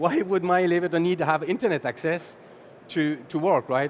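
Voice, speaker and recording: Speaking with a French accent, a man uses a high pitch at a moderate pace. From France. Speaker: sales executive, conference speaker. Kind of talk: conference talk. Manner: halting, with repetitions.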